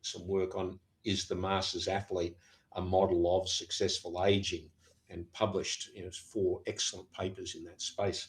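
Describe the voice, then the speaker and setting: With an Australian accent, the speaker keeps a moderate pace while the loudness swings widely. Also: man. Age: 70s. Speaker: professor of sport science. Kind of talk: podcast interview. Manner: halting, with frequent fillers and repeats.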